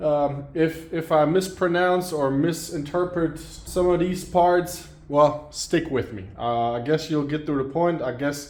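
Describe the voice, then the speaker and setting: Talking at a fairly slow pace with hardly any pauses, a man with a fairly high pitch shows ordinary pitch variation. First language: German. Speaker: car mechanic. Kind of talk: tutorial. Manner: halting, with fillers.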